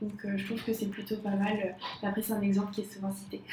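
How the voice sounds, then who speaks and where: A woman's monotone, flat delivery amid noticeable background noise. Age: 20s. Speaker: designer. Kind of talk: casual chat.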